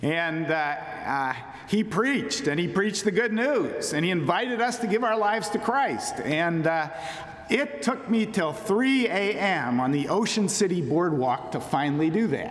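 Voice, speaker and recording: A man speaks at a fairly slow pace with very wide pitch swings. The room echo is audible. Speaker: speaker. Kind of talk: sermon. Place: church. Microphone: podium.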